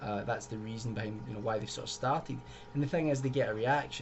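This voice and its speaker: Audible room echo around a man's voice, pitch varying in an ordinary way. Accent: Scottish. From Scotland, Glasgow. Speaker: YouTuber. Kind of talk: video commentary. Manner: casual, conversational.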